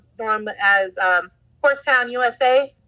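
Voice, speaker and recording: High-pitched woman with a slight Southern US accent, bright, sharp tone, ordinary pitch variation and a fairly slow pace. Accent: slight Southern twang at times. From Southern California. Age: 20s. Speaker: agriculture teacher. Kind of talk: casual interview chat.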